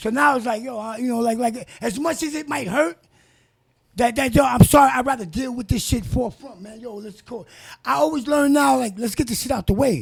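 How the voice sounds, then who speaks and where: In a New York accent, a man with an extremely high pitch speaks with lively intonation and big swings in loudness. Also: fairly quick pace. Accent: New York City. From New York City (Bronx). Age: 50s. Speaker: actor. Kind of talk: casual chat.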